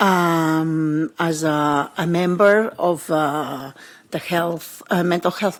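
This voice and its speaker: Fairly even intonation marks a woman's speech, delivered with a non-native accent. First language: not English. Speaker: mental health professional. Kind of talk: panel discussion. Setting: conference panel. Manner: halting, repeats words.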